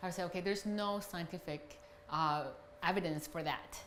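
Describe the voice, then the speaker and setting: A woman speaks with a Chinese accent. Room echo is audible. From China. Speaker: customer giving a review. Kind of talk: testimonial interview.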